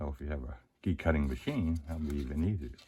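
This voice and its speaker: The man's somewhat breathy voice keeps to a moderate speed. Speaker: locksport hobbyist. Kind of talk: tutorial. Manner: casual, some hesitations.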